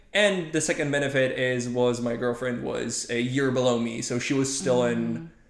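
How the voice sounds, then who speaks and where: A man talks at a moderate pace with hardly any pauses and ordinary pitch variation, with audible room echo around him. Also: medium pitch for a man. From Poland. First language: Polish. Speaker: machine learning scientist. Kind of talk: casual interview. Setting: podcast recording.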